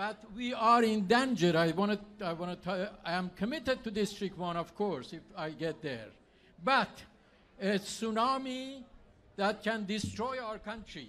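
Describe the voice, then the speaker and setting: A man's high, bright, sharp voice at a fairly slow pace with ordinary pitch variation. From Iran. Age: 70s. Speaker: political candidate. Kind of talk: campaign speech.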